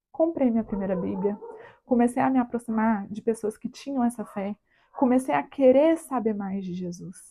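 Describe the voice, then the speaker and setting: A woman speaks at a moderate pace in a fairly high, somewhat breathy voice with a dark, mellow tone. Her intonation is lively. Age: 20s. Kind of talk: personal testimony talk to camera. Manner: casual, chatty.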